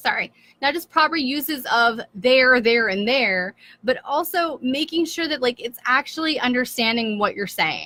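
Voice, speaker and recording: A woman's raised, projected voice at high pitch, with lively intonation, a moderate pace and a dry, close sound with no echo. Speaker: blogging coach. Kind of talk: live stream tutorial. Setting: live video stream. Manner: casual, filler-heavy.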